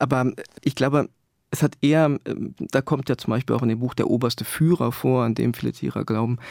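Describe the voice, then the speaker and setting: Recorded dry and close with no echo, a man speaks in a medium pitch with fairly even intonation. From East Germany. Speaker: author. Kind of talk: interview. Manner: halting.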